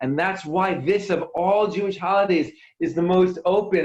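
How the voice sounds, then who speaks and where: Sounding animated, a man with a high pitch speaks in an American accent. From New York. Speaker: worship musician. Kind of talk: inspirational talk to online audience. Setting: video call.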